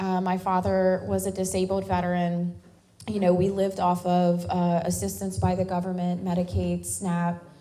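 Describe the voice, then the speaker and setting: A woman's fairly low voice with an American accent, the room echo clearly audible. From US South, Louisiana bayou. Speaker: military veteran and activist. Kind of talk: speech at a town hall.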